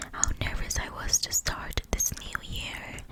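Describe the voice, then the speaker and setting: Whispering at a fairly slow pace, a woman can be heard over noticeable background noise. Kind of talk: personal story told to the audience. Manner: casual, chatty.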